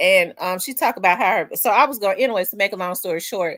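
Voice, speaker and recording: A woman speaks with a Memphis accent. Her voice comes through dry and close with no echo. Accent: deep Memphis drawl. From US South, Memphis. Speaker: livestream host. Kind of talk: casual chat.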